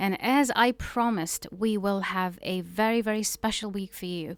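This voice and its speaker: Spoken at a moderate pace with fairly even intonation, the clip is a very clean recording against a silent background. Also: woman. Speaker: radio host. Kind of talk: radio show talk. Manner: hesitant, many fillers.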